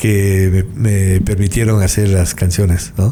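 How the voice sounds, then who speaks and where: A very slow pace, with audible room echo and noticeable background noise. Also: man. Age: 60s. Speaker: singer-songwriter. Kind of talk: interview. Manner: halting.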